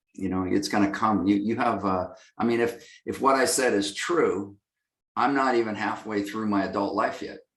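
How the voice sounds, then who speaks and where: With audible room echo, a man speaks at a moderate pace in a fairly low voice. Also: ordinary pitch variation. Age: 60s. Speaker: lighting company executive. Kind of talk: interview. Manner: halting, many fillers.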